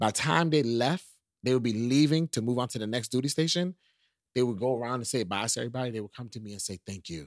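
In a very clean recording with a silent background and a dry, close sound with no echo, a man of medium pitch talks at a very fast pace with lively intonation. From New York. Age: 40s. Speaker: podcast host and YouTube vlogger. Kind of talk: casual chat. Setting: guest's home.

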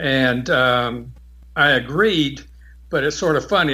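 His tone is bright and sharp, with vocal fry. This man keeps his intonation fairly even. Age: 60s. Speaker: amateur astronomer, lunar section director. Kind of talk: interview.

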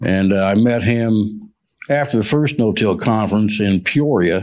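On a very clean recording with a silent background, a man speaks in an ordinary speaking voice at medium pitch with ordinary pitch variation. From central Illinois. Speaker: farmer. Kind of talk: panel discussion.

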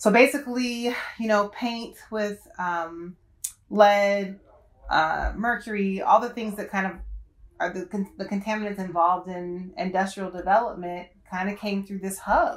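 An ordinary speaking voice with an American accent, at a fairly slow pace, with ordinary pitch variation and big swings in loudness. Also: woman, medium pitch for a woman. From Detroit and Cincinnati, US Midwest. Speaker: science teacher. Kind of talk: casual chat.

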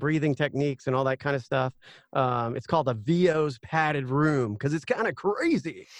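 A man's medium-pitched voice with an American accent and ordinary pitch variation, an unremarkable speaking voice against a quiet background. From US South, Georgia. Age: 40s. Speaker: ring announcer and voiceover artist. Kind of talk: casual chat.

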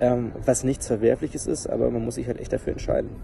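With noticeable noise behind him, a man's speech moves along fairly quickly. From Germany, Harz region. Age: 20s. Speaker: YouTuber and presenter. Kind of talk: interview, personal testimony about depression.

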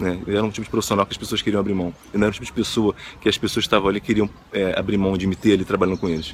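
The speech comes at a very fast pace in a flat, monotone delivery. Noticeable background noise runs underneath. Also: man. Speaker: motivational video host. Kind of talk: motivational monologue.

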